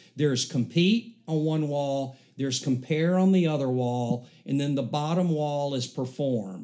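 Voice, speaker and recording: Speaking with a Southern US accent, a man talks at a fairly slow pace. His voice is fairly high with a dark, mellow tone and ordinary pitch variation. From US South, Alabama. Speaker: church member. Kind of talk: casual chat.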